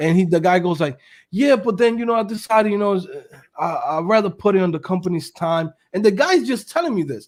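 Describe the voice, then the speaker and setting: Animated and very fast, a man with a New York accent speaks at a high pitch with lively intonation in a very clean recording with a silent background. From New York City. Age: 30s. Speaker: web developer and entrepreneur. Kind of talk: casual chat.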